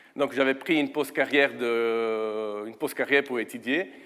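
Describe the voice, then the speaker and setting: A man with an Italian accent speaks at a medium pitch with fairly even intonation. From Italy. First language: Italian (speaking French). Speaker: guest preacher. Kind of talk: sermon. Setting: church. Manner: hesitant, many fillers.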